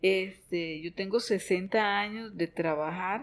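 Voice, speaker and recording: A woman's medium-pitched voice moves with ordinary pitch variation. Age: 60s. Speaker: business owner in chemical industry. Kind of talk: podcast interview. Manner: halting, with many fillers.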